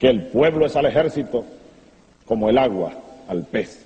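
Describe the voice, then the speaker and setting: A man with a Venezuelan accent speaks at a fairly slow pace in a medium pitch. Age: young. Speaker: military officer, revolutionary leader. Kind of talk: political speech.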